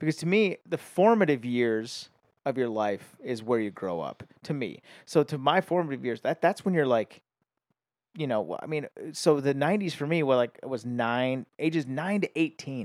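A man with a normal speaking voice talks at a moderate pace, fairly high in pitch, with lively intonation. The sound is dry and close with no echo, and the recording is very clean with a silent background. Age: 30s. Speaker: podcast guest. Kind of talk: casual chat.

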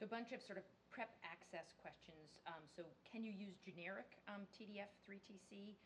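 Somewhat breathy, a woman's medium-pitched voice moves at a fairly slow pace with ordinary pitch variation. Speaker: course co-chair and moderator. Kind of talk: formal introduction of a speaker. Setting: conference hall or lecture room.

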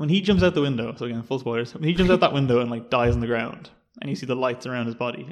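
With a Dublin accent, a man talks at a very fast pace and a medium pitch, with ordinary pitch variation. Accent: Irish, Dublin. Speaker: film podcast host. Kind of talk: casual chat.

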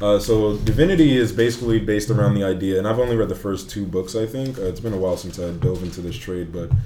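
A man's fairly low voice at a very fast pace with hardly any pauses and ordinary pitch variation, plus audible room echo and noticeable background noise. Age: 20s. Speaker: guest comic book fan. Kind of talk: casual chat.

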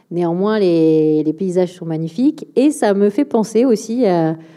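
A woman talks at a fairly slow pace with a fairly low pitch in a plain, everyday voice. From France, Bordeaux area. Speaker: think tank director and author. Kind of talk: public talk and Q&A. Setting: auditorium with live audience.

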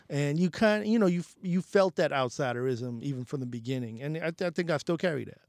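Quickish in pace and fairly high in pitch, a man with a New York accent uses lively intonation and big swings in loudness. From New York City, the Bronx. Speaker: music journalist and editor. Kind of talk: casual interview.

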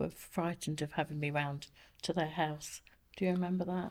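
Over a very clean recording with a silent background, a woman with an unremarkable speaking voice speaks at a fairly low pitch with fairly even intonation. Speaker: asthma patient. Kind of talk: interview. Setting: studio.

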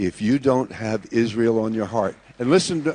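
A man speaks with an American accent at a moderate pace. His medium-pitched voice is an unremarkable speaking voice. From USA. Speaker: pastor. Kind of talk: sermon.

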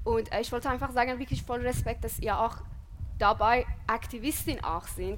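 Speaking at a moderate pace, a woman's voice comes with audible room echo. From Iran. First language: Persian (speaking German). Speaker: podcast co-host. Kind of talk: live panel discussion. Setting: stage with audience outdoors.

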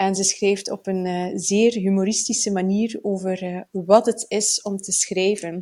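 At a fairly slow pace comes a plain, everyday voice. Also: woman. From Flanders, Belgium (Bruges). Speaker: writing podcast co-host. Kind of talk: casual chat. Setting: at a kitchen table.

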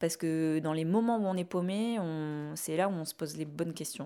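Fairly low-pitched woman's voice at a fairly slow pace, with ordinary pitch variation, in a very clean recording with a silent background. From southern France, Ariège. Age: 30s. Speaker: urban farmer and YouTuber. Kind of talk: interview testimony. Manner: halting, many repetitions.

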